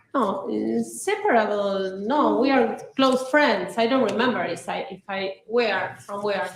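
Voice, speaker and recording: With audible room echo, a woman talks at a fairly slow pace and medium pitch, hardly pausing, her loudness swinging widely and her pitch varying in an ordinary way. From Argentina, Buenos Aires. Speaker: trial witness. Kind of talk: witness testimony. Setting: courtroom.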